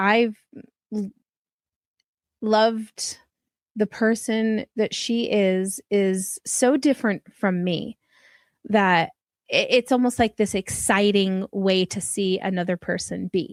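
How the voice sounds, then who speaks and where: In a very clean recording with a silent background, a soft-spoken woman talks very slowly with long, frequent pauses. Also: medium pitch for a woman, fairly even intonation, dry, close sound with no echo. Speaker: podcast host. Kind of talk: podcast interview.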